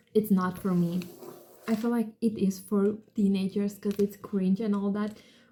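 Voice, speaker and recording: A woman with a non-native accent speaks at medium pitch and a moderate pace, her dark, mellow tone somewhat breathy and her intonation monotone and flat. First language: not English. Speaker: book vlogger. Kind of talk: casual book review. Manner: casual, filler-heavy.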